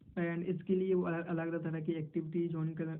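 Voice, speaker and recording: Speaking at a moderate pace, a man with a high voice keeps his intonation monotone and flat. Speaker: person who stammers, stuttering self-help advocate. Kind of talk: explanatory answer in an interview role-play. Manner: stammering, repeated syllables, Hindi mixed with English.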